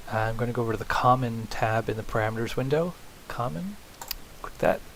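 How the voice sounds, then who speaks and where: Delivered at a fairly quick pace with ordinary pitch variation, the speech sits over noticeable background noise. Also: man. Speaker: software tutorial instructor. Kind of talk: screen-recorded tutorial. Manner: casual, with fillers.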